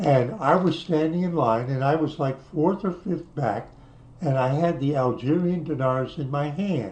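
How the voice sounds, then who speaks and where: A man speaks fairly slowly in a somewhat breathy voice. His pitch is fairly high, with ordinary variation. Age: 80s+. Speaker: YouTuber reminiscing about travels. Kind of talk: casual monologue reminiscing. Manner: halting, with false starts.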